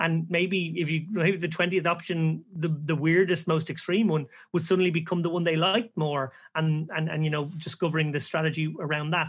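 A man with an Irish accent and a fairly high pitch speaks at a fairly quick pace. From Ireland. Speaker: professional poker player and podcast co-host. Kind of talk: casual interview conversation. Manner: animated.

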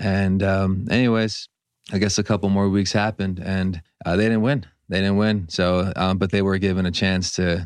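A man with an American accent, very deep and low in pitch, at a moderate pace with monotone, flat intonation and very even loudness, against a quiet background. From US West Coast, Los Angeles. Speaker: veteran guest. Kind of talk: casual interview chat.

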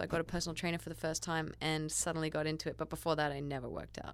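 A woman talks at a very fast pace with an Australian accent. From East Coast Australia. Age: 20s. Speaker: actress. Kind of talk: casual chat.

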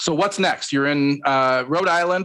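A man's fairly high-pitched, bright, sharp voice with ordinary pitch variation over a quiet background. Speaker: podcast co-host. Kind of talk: casual chat. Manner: animated.

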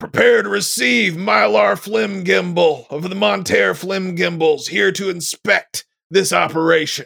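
A man's high put-on character voice at a moderate pace, with hardly any pauses.

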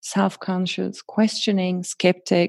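This woman has a dark, mellow tone at medium pitch. The recording is very clean with a silent background. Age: 30s. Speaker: spiritual and yoga teacher, co-host. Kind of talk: casual chat.

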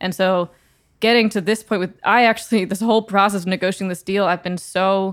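On a very clean recording with a silent background, a woman with an American accent talks fairly quickly in an ordinary speaking voice, medium in pitch, with fairly even intonation. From Texas, San Antonio. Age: 20s. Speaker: singer-songwriter. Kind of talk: casual chat.

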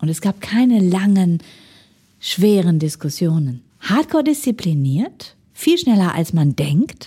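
At a fairly slow pace, a woman with a medium pitch and a dark, mellow, somewhat breathy tone swings her pitch very widely. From Ruhr area, Germany. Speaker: management consultant. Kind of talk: interview. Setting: studio.

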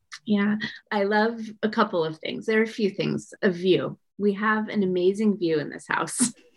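A woman with an American accent and a plain, everyday voice, at a medium pitch and moderate pace, with fairly even intonation. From US West Coast. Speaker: entrepreneur. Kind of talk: casual chat.

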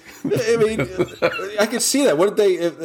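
A man speaks over noticeable background noise. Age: 40s. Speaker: movie podcast co-host. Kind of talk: casual chat.

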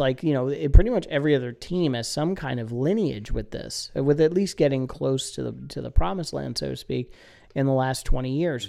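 With vocal fry and a dark, mellow tone, a man speaks at a moderate pace with ordinary pitch variation.

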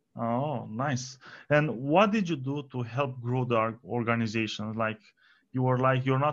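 Over a quiet background, a man talks at a fairly slow pace with fairly even intonation. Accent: Romanian. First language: Romanian. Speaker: podcast host. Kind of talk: interview.

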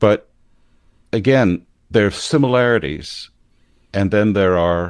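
Speaking at a fairly slow pace against a quiet background, a man with an American accent uses ordinary pitch variation. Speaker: podcast host and priest. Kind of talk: casual chat.

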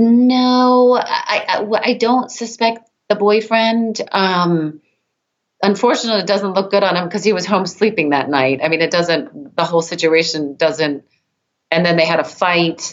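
At a fairly slow pace, an unremarkable speaking voice carries lively intonation with very even loudness. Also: woman, medium pitch for a woman. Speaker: twin sister of victim, case advocate. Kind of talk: interview, emotional.

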